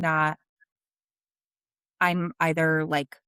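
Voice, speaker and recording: A woman with a fairly low pitch, a bright, sharp tone and a strong New Jersey accent, in a dry, close sound with no echo. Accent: thick New Jersey. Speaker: sales leader. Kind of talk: interview conversation.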